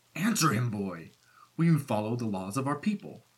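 A man puts on a growling character voice at medium pitch, with very wide pitch swings. His pace is moderate. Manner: menacing, bitter, growling.

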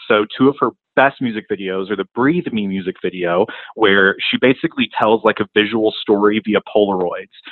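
In a normal speaking voice, a man with an American accent and fairly low pitch talks at a fairly quick pace. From South Carolina (Rock Hill). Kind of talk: recorded voice message.

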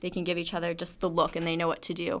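A woman's fairly low voice with vocal fry, in a very clean recording with a silent background. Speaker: student women's lacrosse reporter. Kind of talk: sports analysis discussion.

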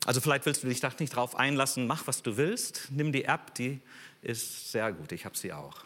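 The man's tone is bright and sharp, with vocal fry. He speaks at a moderate pace with ordinary pitch variation. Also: medium pitch for a man. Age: 60s. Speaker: guest preacher. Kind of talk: sermon.

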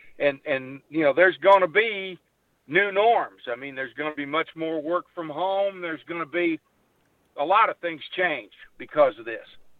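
Speaking at a moderate pace, a man with a high pitch and ordinary pitch variation shows big swings in loudness. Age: 60s. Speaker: regular radio guest. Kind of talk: casual chat. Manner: folksy storyteller.

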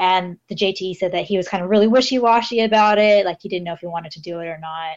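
A woman with an American accent and a medium pitch, very fast, with big swings in loudness. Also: ordinary pitch variation. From Los Angeles, California. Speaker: guest, English teaching assistant in Japan. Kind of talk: casual chat.

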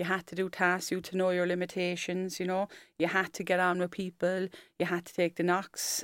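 Someone with a Cork accent speaks on a very clean recording with a silent background. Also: woman. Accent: Cork Irish. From Ireland, Cork. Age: 40s. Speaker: firefighter. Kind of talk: interview. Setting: studio.

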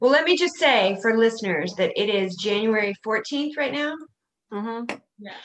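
A woman with an unremarkable speaking voice talks at a fairly high pitch and a moderate pace. Her intonation is lively, with big swings in loudness. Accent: American. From US South, South Carolina. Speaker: podcast host. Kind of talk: casual chat.

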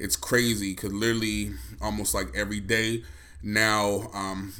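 A man with a fairly low pitch and a bright, sharp tone speaks at a fairly slow pace with fairly even intonation. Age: 30s. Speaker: podcast co-host. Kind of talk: solo podcast monologue. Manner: casual, rambling.

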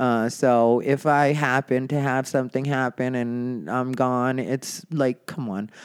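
This man's voice sits at a medium pitch, with fairly even intonation. The recording is very clean, with a silent background. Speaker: comedian and podcast host. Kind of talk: casual solo monologue. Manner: sarcastic tone.

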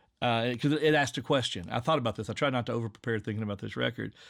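A man's medium-pitched voice with an Appalachian accent and ordinary pitch variation, on a very clean recording with a silent background. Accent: Appalachian Southern. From Southwest Virginia, Appalachia. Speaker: podcast creator and English teacher. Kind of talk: casual interview chat.

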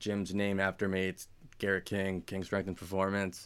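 In a normal speaking voice, a man talks at a moderate pace and fairly low pitch, recorded very cleanly with a silent background. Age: 20s. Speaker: gym owner and personal trainer. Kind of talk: casual chat. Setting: studio.

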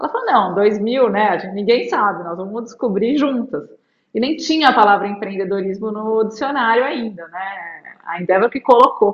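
A woman speaks fairly high in an unremarkable speaking voice, with ordinary pitch variation. Her pace is moderate, with big swings in loudness. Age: 40s. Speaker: lawyer and investor. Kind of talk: interview.

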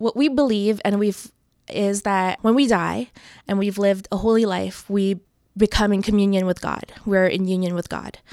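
Here a woman talks at a moderate pace with a medium pitch. Her intonation stays fairly even in a very clean recording with a silent background. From Toronto area, Canada. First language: not English. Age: 20s. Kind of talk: interview conversation. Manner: thoughtful, with filler words.

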